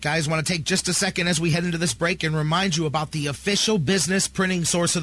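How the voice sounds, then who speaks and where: A man's animated, high-pitched voice amid noticeable background noise. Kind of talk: radio DJ patter, live sports-talk promo. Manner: animated, fast, punchy, hype-driven.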